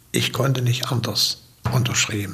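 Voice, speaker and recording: A man at medium pitch and moderate pace, with noticeable background noise. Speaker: former party cultural secretary, eyewitness. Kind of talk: recalled interview testimony.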